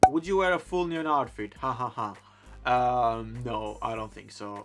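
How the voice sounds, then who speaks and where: A man speaks with music playing in the background. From Greece, Thessaloniki. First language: Greek. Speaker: fashion blogger. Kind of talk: casual Q&A vlog.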